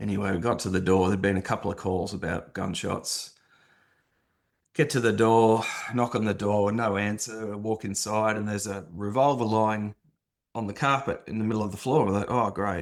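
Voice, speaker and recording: With an Australian accent, this voice moves at a fairly quick pace with fairly even intonation on a very clean recording with a silent background. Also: man, fairly low pitch for a man. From Australia, Sydney. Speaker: former police officer. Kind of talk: interview testimony.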